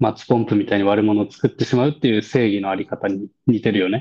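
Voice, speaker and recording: Dark and mellow in tone, a man's voice sits at a medium pitch and varies in an ordinary way. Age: 30s. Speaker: podcast co-host. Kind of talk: casual chat.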